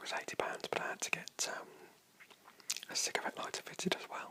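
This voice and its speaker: A man whispers in a relaxed tone at a fairly quick pace over noticeable background noise. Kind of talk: casual talk to camera. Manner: whispered, relaxed.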